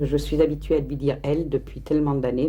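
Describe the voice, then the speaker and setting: A woman talks at a fairly quick pace with audible room echo around her voice. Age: 60s. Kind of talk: documentary interview. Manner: halting.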